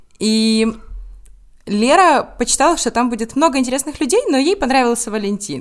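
A woman talks at a fairly quick pace in a normal speaking voice. Her pitch is fairly high and her intonation lively. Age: 20s. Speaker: law student, student group co-founder. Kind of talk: casual interview.

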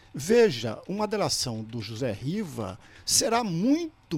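A man talking at a very slow pace. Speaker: professor and political commentator. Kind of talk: radio commentary interview.

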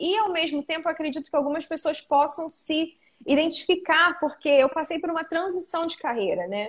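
At a moderate pace, a woman talks at an extremely high pitch with ordinary pitch variation. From Brazil, Rio de Janeiro state, Arraial do Cabo. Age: 20s. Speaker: esthetician. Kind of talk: casual interview.

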